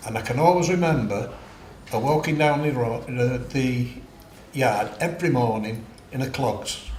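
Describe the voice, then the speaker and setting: A man with a Mancunian accent talks at a moderate pace and medium pitch, with ordinary pitch variation and long, frequent pauses, amid noticeable background noise and audible room echo. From Manchester, northern England. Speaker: war-era witness. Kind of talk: oral history interview. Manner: halting.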